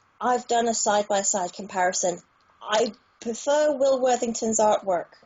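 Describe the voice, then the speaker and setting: A woman with a British accent, her pitch fairly high, speaking at a fairly slow pace. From United Kingdom. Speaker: tarot reader. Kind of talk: interview answer.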